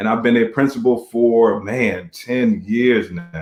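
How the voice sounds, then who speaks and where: With an American accent, a man talks in a normal speaking voice at a medium pitch, with ordinary pitch variation. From Virginia. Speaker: school principal. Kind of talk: casual chat.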